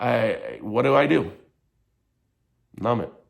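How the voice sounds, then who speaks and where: A man speaks with an American accent at medium pitch. Audible room echo fills the recording. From Michigan. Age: 30s. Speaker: vlogger on addiction and mental health. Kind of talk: personal commentary vlog. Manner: halting.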